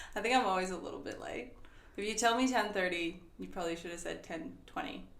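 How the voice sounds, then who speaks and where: Noticeable background noise behind a woman of medium pitch, her intonation lively and her pace fairly quick. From Sweden, grew up in different countries. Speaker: university HR and operations coordinator. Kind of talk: podcast interview answer.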